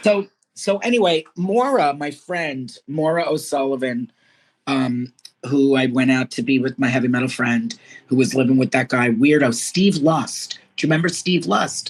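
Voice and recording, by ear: At a moderate pace, a woman speaks with an extremely low pitch and ordinary pitch variation.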